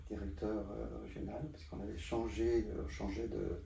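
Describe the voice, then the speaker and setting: A man keeps a moderate pace as audible room echo rings around his words. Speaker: photographer. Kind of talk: interview. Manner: halting.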